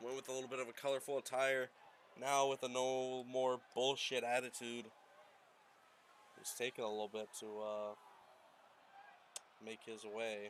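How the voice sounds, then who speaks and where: A man speaks at a medium pitch in a monotone, flat way. Long, frequent pauses break up his speech. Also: moderate pace. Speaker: wrestling game commentator. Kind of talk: live commentary. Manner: casual, joking.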